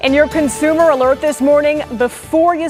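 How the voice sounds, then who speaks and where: A woman's speech unfolds at a moderate pace. Behind her, music can be heard. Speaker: news anchor. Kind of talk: TV news anchor read. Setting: studio.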